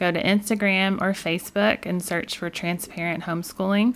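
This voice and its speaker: A woman's plain, everyday voice at medium pitch, with fairly even intonation, a moderate pace and a very clean recording over a silent background. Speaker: podcast host. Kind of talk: casual interview chat. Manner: warm, encouraging.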